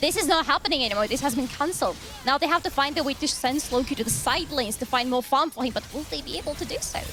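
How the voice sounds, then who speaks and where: A woman with a high pitch and a non-native accent at a very fast pace, ordinary pitch variation, music in the background. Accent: noticeable non-native. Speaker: esports caster. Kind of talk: live commentary.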